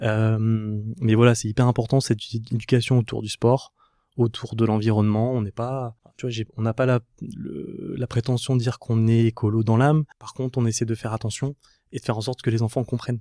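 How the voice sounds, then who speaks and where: A man's medium-pitched voice, dark and mellow in tone, at a fairly quick pace with fairly even intonation, dry and close with no echo, on a very clean recording against a silent background. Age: 30s. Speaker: podcast guest, family man emigrating to Canada. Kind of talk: casual interview. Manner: hesitant, many fillers.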